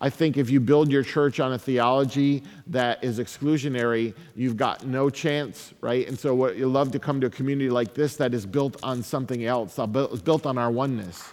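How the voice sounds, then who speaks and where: A man with an American accent has an ordinary speaking voice at medium pitch. He talks at a moderate pace with fairly even intonation. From upstate New York (Syracuse). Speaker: pastor and author giving a talk. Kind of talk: keynote talk; audience Q&A answers. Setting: stage with audience.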